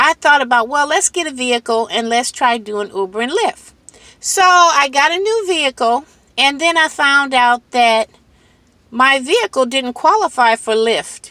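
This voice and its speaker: In an American accent, a woman projects a raised, high-pitched voice at a moderate pace with very wide pitch swings, on a very clean recording with a silent background and a dry, close sound with no echo. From Michigan, US. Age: 60s. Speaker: delivery driver and vlogger. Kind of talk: casual vlog talk. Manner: hesitant, conversational.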